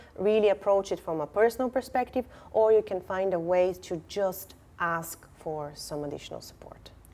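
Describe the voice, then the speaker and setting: This woman speaks at a moderate pace in a medium pitch, her dark, mellow tone carrying ordinary pitch variation and big swings in loudness. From Bulgaria. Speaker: talent advisor and lecturer. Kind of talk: podcast interview.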